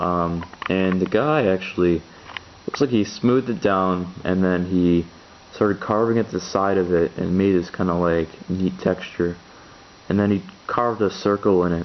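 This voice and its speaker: Noticeable background noise sits behind a man speaking at a moderate pace. His pitch is very deep and low, with ordinary variation. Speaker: coin collecting YouTuber. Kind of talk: casual show-and-tell video. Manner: hesitant, many fillers.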